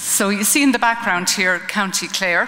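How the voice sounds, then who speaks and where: A woman speaks at a moderate pace with an Irish accent. Background noise is noticeable. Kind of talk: conference talk. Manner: hesitant, many ums.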